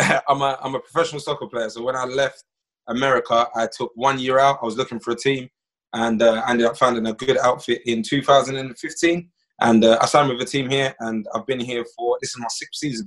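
Speaking at a fairly quick pace, a man uses a medium pitch, a fairly bright tone and fairly even intonation.

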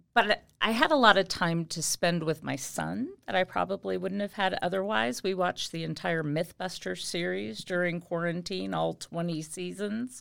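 A woman's unremarkable speaking voice with an American accent, fairly low in pitch, with lively intonation, moderate pace and hardly any pauses, on a very clean recording with a silent background. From Indiana, US Midwest. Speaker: high school Spanish teacher. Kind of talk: casual interview. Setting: school podcast.

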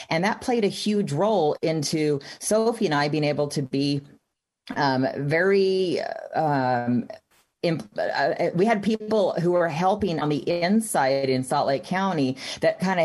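A woman with an American accent has an ordinary speaking voice, fairly low in pitch, at a moderate pace. Her intonation is lively and her loudness very even. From Texas. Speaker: activist mother. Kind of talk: interview.

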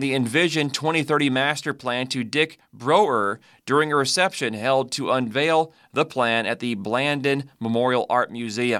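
A man with a fairly high pitch speaks in a bright, sharp, warm and upbeat tone with ordinary pitch variation on a very clean recording with a silent background.

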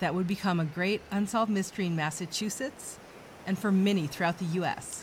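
At a moderate pace and a medium pitch, a woman talks in a normal speaking voice. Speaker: true crime podcast host. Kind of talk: true-crime narration, measured and serious, reading a scripted case account. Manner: solemn, steady, formal.

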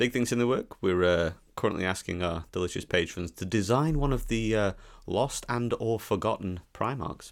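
Lively intonation from a man at a fairly slow pace, on a very clean recording with a silent background. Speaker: podcast host. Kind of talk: casual banter.

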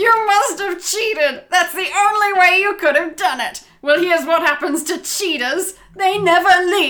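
In a put-on character voice, a woman sounds shrill and furious at an extremely high pitch, moving at a moderate pace with ordinary pitch variation. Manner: screeching, furious.

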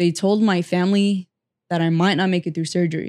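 On a very clean recording with a silent background and a dry, close sound with no echo, a woman with an American accent and a normal speaking voice talks fairly quickly at a medium pitch. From California Central Valley (Fresno). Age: 20s. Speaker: motivational speaker. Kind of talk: podcast interview.

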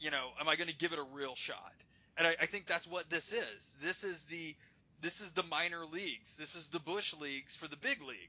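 Talking at a fairly quick pace, a man uses a high pitch. His pitch variation is ordinary. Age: 40s. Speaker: comic book podcast co-host. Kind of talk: casual chat.

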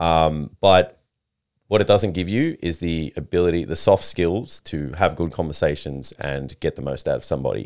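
With an Australian accent, a man speaks in a very deep, low voice at a moderate pace, with ordinary pitch variation. The recording is very clean, and the background is silent. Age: 30s. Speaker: personal trainer and fitness coach. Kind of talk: casual chat.

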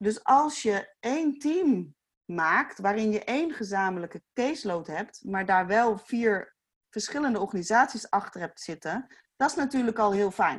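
In a plain, everyday voice, a woman with a fairly high pitch speaks at a fairly slow pace with lively intonation. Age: 40s. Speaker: youth care foundation founder. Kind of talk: casual chat.

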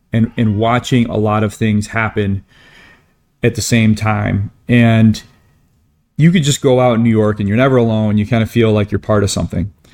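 Speaking at a moderate pace with an American accent, a man uses a fairly low pitch and fairly even intonation in an unremarkable speaking voice. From Michigan, small town. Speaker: ski podcaster and writer. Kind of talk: casual interview chat.

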